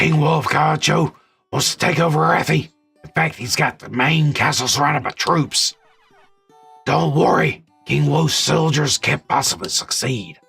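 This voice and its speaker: Doing a raspy put-on character voice, a man speaks at a moderate pace and a fairly high pitch while faint music plays in the background. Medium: game stream.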